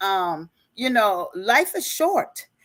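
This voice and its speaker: A woman talks in an unremarkable speaking voice, pitched fairly high, with lively intonation. The recording is very clean, with a silent background and a dry, close sound that has no echo. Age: 60s. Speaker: life and business coach. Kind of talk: interview.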